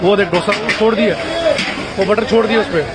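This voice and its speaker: A man talks at a moderate pace. Crowd noise can be heard in the background. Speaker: food vlogger. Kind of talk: casual vlog commentary. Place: market. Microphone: phone near.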